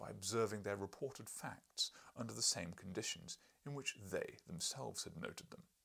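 Simply an unforced reading voice

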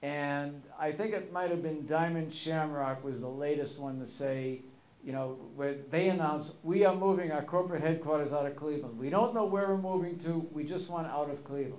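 The speech runs with hardly any pauses in a room with audible echo. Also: man, ordinary pitch variation, moderate pace. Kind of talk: storytelling talk. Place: hall. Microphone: podium.

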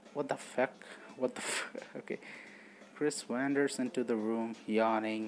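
A man with a non-native accent, fairly slow and fairly even in intonation, with long, frequent pauses. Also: medium pitch for a man. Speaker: gaming commentator. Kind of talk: casual gameplay commentary, reading game text aloud.

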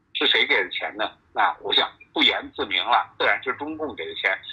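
The backdrop stays quiet. A man speaks fairly quickly. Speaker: political commentator. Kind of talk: interview commentary. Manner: halting. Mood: critical, matter-of-fact. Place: office.

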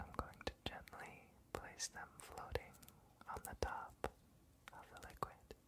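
A man talks at a very slow pace in a dry sound with no echo. Loud background noise runs behind him. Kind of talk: soft-spoken ASMR roleplay. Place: home room.

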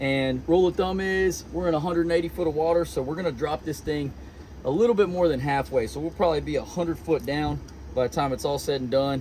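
Light background noise sits behind a man speaking. His pace is fairly quick, with ordinary pitch variation. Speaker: fishing guide or angler. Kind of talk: casual vlog chat and tutorial. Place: boat. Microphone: phone near.

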